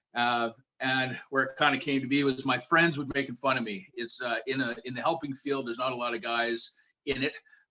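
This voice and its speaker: With a plain, everyday voice and a Canadian accent, a man talks at a fairly quick pace at medium pitch with fairly even intonation. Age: 40s. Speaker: youth worker. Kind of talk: panel discussion.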